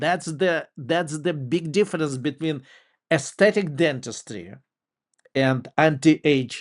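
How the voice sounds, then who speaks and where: At a very slow pace, a man with a fairly high pitch and a non-native accent speaks against a quiet background. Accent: foreign. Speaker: dentist. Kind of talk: interview. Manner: halting.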